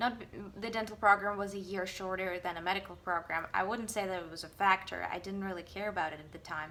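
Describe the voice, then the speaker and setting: Over noticeable background noise, a woman with a Russian accent speaks at a very fast pace and medium pitch, with fairly even intonation and big swings in loudness. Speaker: dentist. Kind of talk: casual vlog monologue. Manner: halting.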